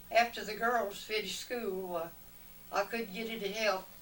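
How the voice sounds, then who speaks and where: With a Southern US accent, a woman speaks at a fairly slow pace and medium pitch, her intonation fairly even, over noticeable background noise. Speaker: retired cafe owner. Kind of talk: family interview answer.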